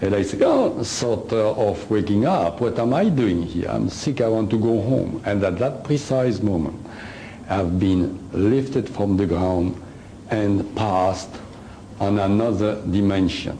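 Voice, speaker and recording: A man's fairly low voice with a French accent, very even loudness, ordinary pitch variation and a fairly slow pace, amid noticeable background noise and audible room echo. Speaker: alien contactee and author. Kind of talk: lecture. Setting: stage with audience. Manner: hesitant, many uhs.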